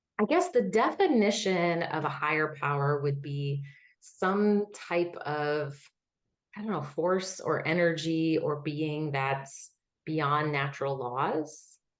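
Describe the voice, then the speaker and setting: A woman speaks very slowly at a very deep, low pitch with ordinary pitch variation, and audible room echo surrounds her voice. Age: 30s. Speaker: academic with a Ph.D., former missionary. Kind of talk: personal testimony interview. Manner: smooth and assured.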